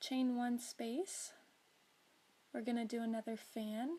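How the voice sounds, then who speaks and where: Quietly and with fairly even intonation, a woman speaks in a high voice with a dark, mellow tone. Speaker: crocheter. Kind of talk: crochet tutorial narration.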